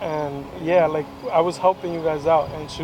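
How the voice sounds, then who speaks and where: Noticeable background noise and audible room echo surround a man's voice. He talks at a moderate pace in a fairly high pitch. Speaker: vlogger. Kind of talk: casual chat.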